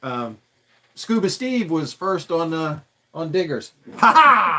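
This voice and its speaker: A man with an American accent and a high pitch, at a very slow pace, with very wide pitch swings. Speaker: custom vehicle builder. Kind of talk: casual chat. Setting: livestream. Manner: halting.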